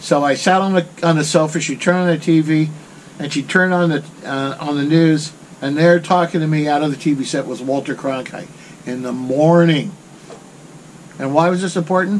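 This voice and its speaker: A man with an American accent talks at a fairly quick pace in a fairly high pitch, using fairly even intonation and a relaxed tone over noticeable background noise. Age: 70s. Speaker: desert off-road vlogger. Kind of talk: casual storytelling to camera. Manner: relaxed, rambling.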